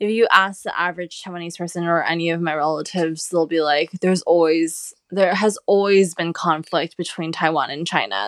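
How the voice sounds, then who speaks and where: At a moderate pace, a woman with a Californian accent speaks at a fairly low pitch with ordinary pitch variation. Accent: Californian American English. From US West Coast, Los Angeles. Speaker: journalist and cookbook author. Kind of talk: interview.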